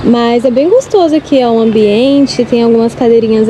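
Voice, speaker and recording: Over noticeable background noise, a woman talks in a high voice with ordinary pitch variation. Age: 20s. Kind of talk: casual talk to camera. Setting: outdoors.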